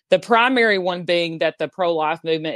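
Moderate pace in a Southern US accent, with a dry, close sound and no echo. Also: woman. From US South. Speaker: abortion abolition activist. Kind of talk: interview.

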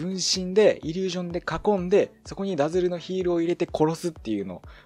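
Against noticeable background noise, a man talks at a very fast pace with a high pitch. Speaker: Dota 2 commentator and radio-style podcast host. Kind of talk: casual solo podcast talk. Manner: fast, lots of filler sounds.

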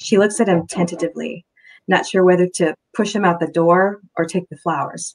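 Reading aloud in a natural voice, with fairly even intonation against a quiet background

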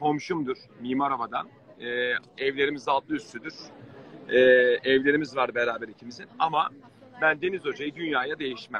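Over light background noise, a man talks at a moderate pace with long, frequent pauses. His fairly high voice has ordinary pitch variation and a dry sound with no echo. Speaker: football commentator. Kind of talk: live-stream call-in chat. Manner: warm, emotional. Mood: warm, friendly. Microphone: video call.

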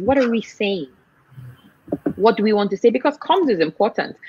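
A woman talks at a very fast pace with lively intonation and a somewhat breathy sound. The recording is dry with no echo. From Nigeria. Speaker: NGO executive director; guest. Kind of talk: interview. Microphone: video call.

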